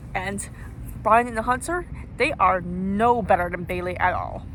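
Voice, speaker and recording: At a moderate pace, a woman speaks in an animated tone, with audible room echo and noticeable background noise. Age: young, university student. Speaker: YouTuber making callout videos. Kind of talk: rant to camera. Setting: outdoors on campus grass. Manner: animated, indignant.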